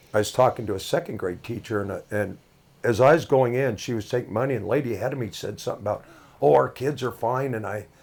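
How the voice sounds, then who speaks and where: A man with an American accent talks at a very fast pace in a medium pitch. His voice is somewhat breathy, with ordinary pitch variation. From Washington state, Brewster. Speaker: sports announcer and auto shop owner. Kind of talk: casual chat.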